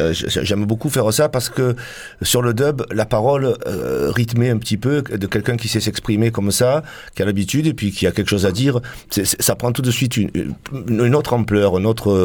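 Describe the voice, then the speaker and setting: A man with an unremarkable speaking voice talks at a fairly quick pace, at medium pitch with ordinary pitch variation. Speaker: band member. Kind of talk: casual live radio chat. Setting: radio studio.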